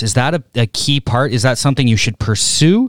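Here a man speaks in a plain, everyday voice at a medium pitch with ordinary pitch variation. The recording is dry and close, with no echo. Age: 30s. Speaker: podcast co-host, hockey coach. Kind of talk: casual interview. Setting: hockey training facility.

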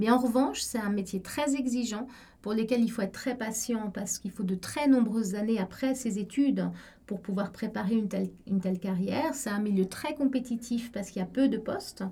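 This woman has a fairly high, somewhat breathy voice with a dark, mellow tone. She talks at a fairly quick pace with ordinary pitch variation. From Egypt (Cairo), French school. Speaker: law professor. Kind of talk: interview testimony.

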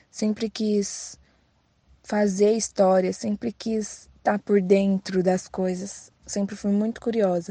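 In a dry, close sound with no echo, a woman speaks at a medium pitch with a dark, mellow, somewhat breathy tone and monotone, flat intonation. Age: 20s. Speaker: poet, former inmate. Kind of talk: testimony.

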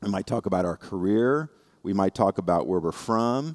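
With an American accent, a plain, everyday voice moves at a moderate pace with lively intonation, and the sound is dry and close with no echo. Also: man. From Indiana. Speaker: lay preacher. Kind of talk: sermon.

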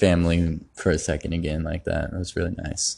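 Against a quiet background, a man with a very deep, low voice talks at a moderate pace in a relaxed tone. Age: 20s. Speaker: tattoo artist podcaster. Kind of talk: casual monologue. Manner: relaxed, filler-heavy.

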